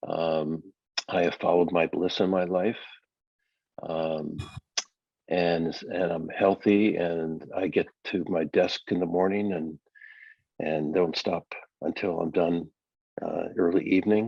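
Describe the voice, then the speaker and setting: A man's very deep, low voice holds a monotone, flat intonation. He goes at a fairly slow pace, with long, frequent pauses. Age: 70s. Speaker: solar company founder and CEO. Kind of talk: interview.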